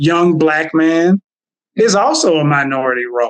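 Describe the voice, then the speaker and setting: In a Southern US accent, a man speaks at a fairly high pitch with ordinary pitch variation, the sound dry and close with no echo. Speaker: therapist. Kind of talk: casual chat. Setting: podcast interview. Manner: halting.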